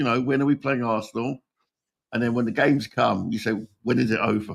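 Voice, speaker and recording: This man has a medium pitch and fairly even intonation. The sound is dry and close, with no echo. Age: 60s. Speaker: football fan podcast guest. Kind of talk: casual chat. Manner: halting, many repetitions.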